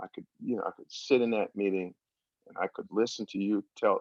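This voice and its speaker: The accent is American. This man speaks at a moderate pace. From Washington DC area. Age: 60s. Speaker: recovery workshop speaker. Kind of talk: testimony. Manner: halting, many fillers.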